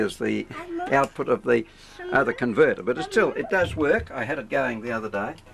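A man with an Australian accent, over noticeable background noise. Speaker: ham radio operator. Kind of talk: explaining equipment to camera. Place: workshop. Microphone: old recording.

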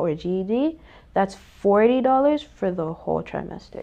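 This woman speaks with a Miami accent. Her intonation is lively. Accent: Miami American English, Haitian heritage. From Miami, Florida. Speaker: technical college staff member. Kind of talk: interview. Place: studio. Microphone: lapel.

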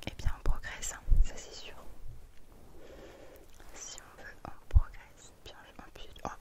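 Whispering at a very slow pace, a woman leaves long, frequent pauses while her loudness swings widely. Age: 20s. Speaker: ASMR creator. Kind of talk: ASMR personal attention. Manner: whispered, soft-spoken. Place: home room.

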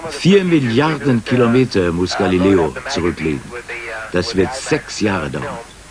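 A man talks at a fairly slow pace in a fairly low voice, his pitch swinging very widely. Noticeable background noise runs behind him. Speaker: news review narrator. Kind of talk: scripted news-review narration, 1989 TV retrospective. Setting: studio voice-over. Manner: clipped, dry, sardonic, punchy staccato.

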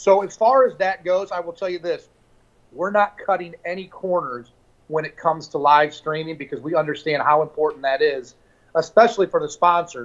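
Speaking at a moderate pace in an American accent, a man has a high voice with ordinary pitch variation. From US Midwest, St. Louis area; US Midwest. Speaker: fishing league owner; guest. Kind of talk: interview. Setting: live stream. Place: home room. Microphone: video call.

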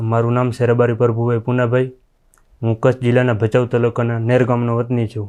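This man has a medium pitch and a dark, mellow tone. His intonation is monotone and flat. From rural Gujarat, Kutch and Patan area. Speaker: police constable recruit. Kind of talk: interview.

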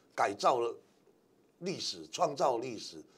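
This is a man talking. His voice moves through very wide pitch swings. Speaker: former radio host, political commentator. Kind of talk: casual talk show discussion.

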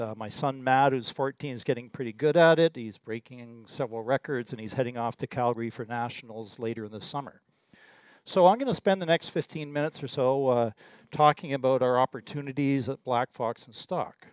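Speech comes at a fairly quick pace with ordinary pitch variation and big swings in loudness. The sound is dry with no echo, over a quiet background. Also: man. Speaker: exploration geologist. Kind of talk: presentation. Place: hall. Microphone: podium.

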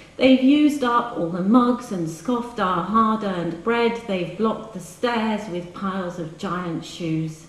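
In a room with audible echo, a woman speaks at a fairly slow pace in a playful, warm tone with ordinary pitch variation. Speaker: poet reading her work. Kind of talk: poem reading, intimate live reading with brief chatty introductions between poems. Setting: live reading in a hall with audience. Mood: wry, rhythmic delivery. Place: hall. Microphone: camera far.

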